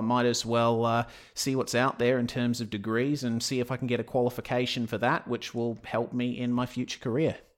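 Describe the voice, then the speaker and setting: Recorded very cleanly against a silent background, a man at medium pitch talks at a fairly quick pace with an Australian accent and hardly any pauses. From Western Australia (Perth). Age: 20s. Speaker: sim racing commentator. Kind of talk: interview.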